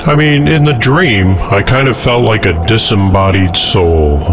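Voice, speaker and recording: Very wide pitch swings from a man, with noticeable background noise around him. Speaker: pirate radio host. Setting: pirate radio broadcast.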